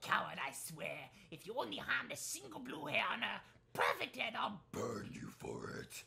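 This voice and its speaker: Someone whispers at a moderate pace. The loudness swings widely. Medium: game stream. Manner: angry, threatening, shouting.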